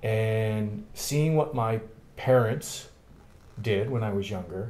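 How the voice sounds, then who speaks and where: With a Canadian accent, a man of medium pitch speaks very slowly in a dark, mellow tone, showing ordinary pitch variation amid audible room echo. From Canada, Thunder Bay, Ontario. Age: 40s. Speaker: political candidate. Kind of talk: interview. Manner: halting.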